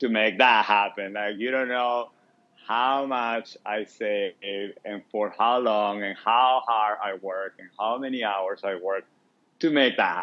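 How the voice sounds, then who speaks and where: Fairly slow and fairly even in intonation, a man speaks at a fairly low pitch with a non-native accent. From Venezuela. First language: Spanish. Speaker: food stand co-owner. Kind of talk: podcast interview answer.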